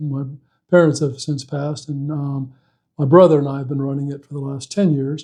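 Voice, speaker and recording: This man has an Alabama accent and a fairly high pitch. His tone is dark and mellow, and somewhat breathy. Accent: Southern US (Alabama). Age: 60s. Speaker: political candidate and insurance agent. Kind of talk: interview. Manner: halting, many fillers and restarts.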